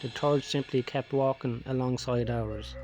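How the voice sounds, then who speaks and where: With music playing behind him, a man speaks at a moderate pace in a medium pitch. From Ireland. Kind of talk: horror story narration. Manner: speech impediment.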